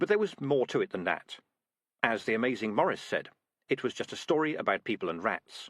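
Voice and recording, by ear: Things are quiet in the background. A natural voice reads aloud.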